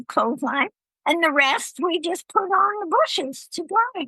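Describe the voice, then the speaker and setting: A woman's raised, projected voice with very wide pitch swings, in a dry, close sound with no echo. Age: 80s+. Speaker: traveler and author. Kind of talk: interview.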